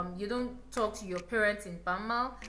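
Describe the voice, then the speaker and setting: A woman with a Yoruba accent talks at a moderate pace amid audible room echo. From Nigeria. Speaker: YouTuber. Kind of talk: casual vlog talk.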